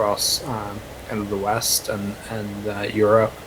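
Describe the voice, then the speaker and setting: Noticeable background noise sits behind a man's voice. He talks at a fairly slow pace in a fairly low pitch. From Norway. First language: Norwegian. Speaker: counter-extremism activist. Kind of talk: online panel discussion.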